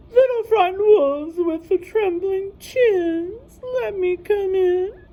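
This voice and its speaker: In an extremely high-pitched put-on character voice, a woman talks at a fairly slow pace. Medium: read story. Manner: menacing.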